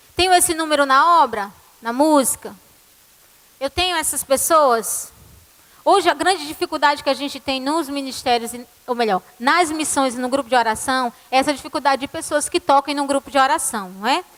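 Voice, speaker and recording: A woman's high voice at a moderate pace, ordinary pitch variation, and noticeable background noise. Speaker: church music ministry leader. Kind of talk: conference talk.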